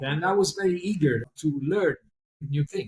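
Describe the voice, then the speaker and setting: A man's voice comes through somewhat breathy, with ordinary pitch variation and a moderate pace. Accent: Italian. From Italy, Naples area. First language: Italian. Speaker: pianist. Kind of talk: interview. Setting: remote call. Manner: halting, repetitive. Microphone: poor sound quality.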